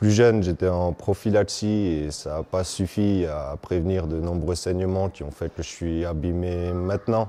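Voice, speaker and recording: A man's very deep, low voice with a dark, mellow tone, fairly even intonation, a fairly slow pace and hardly any pauses. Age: 30s. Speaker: patient testimony, person with bleeding disorder. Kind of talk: testimony. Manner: hesitant, with fillers.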